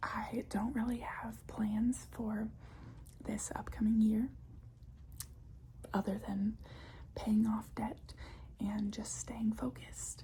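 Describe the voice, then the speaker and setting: Someone whispers, soft-spoken and very slow, with long, frequent pauses. Noticeable background noise runs underneath. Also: woman. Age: 20s. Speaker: ASMR creator. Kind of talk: ASMR whispered ramble. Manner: whispered, soft-spoken.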